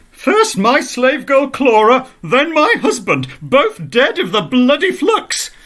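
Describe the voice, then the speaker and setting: A man does a put-on character voice at an extremely high pitch. He goes at a fairly slow pace with hardly any pauses. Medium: read story.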